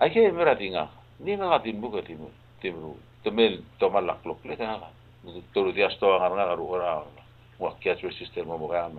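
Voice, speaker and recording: A man talks at a very fast pace, broken by long, frequent pauses. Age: 70s. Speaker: farmer. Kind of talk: talk show interview.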